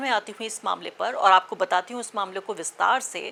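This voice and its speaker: Ordinary pitch variation marks the voice. Its pace is moderate. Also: woman. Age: middle-aged. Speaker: journalist / news commentator. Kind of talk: opinion commentary. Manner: impassioned, direct address.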